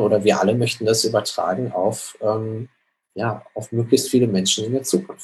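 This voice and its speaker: Somewhat breathy and fairly low-pitched, a man speaks at a moderate pace with fairly even intonation. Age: 30s. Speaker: social startup co-founder. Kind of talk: interview.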